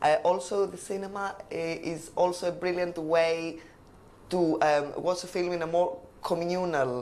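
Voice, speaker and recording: Speaking in a Greek accent, a woman talks at a fairly slow pace and fairly low pitch, with audible room echo. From Greece, Crete. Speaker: language exam candidate. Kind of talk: oral exam interview. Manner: hesitant, many fillers.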